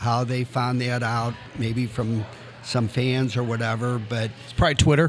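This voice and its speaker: A man's medium-pitched voice, monotone and flat at a moderate pace, with noticeable background noise. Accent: American. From St. Louis, Missouri (north side). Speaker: former pro soccer player and coach. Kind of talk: casual interview. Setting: restaurant.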